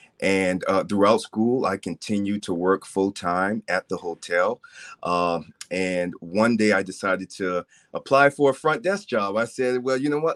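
In a dry, close sound with no echo, a man with an American accent talks at a moderate pace with ordinary pitch variation. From US South, Charleston, South Carolina. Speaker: hotel sales director, author. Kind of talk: interview.

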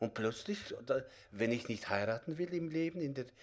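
A man speaks with lively intonation. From Kazakhstan. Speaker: theatre director and acting teacher. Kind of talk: interview. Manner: halting.

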